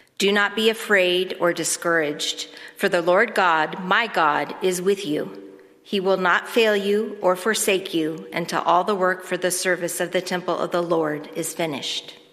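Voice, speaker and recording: At a moderate pace, a woman speaks with a medium pitch and fairly even intonation over noticeable background noise. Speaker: church reader. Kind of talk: scripture reading.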